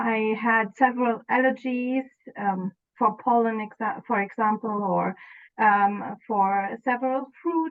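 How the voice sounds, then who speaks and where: The speaker has a German accent and fairly even intonation. The pace is fairly slow. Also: woman. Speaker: former client. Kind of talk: interview. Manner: halting, many fillers.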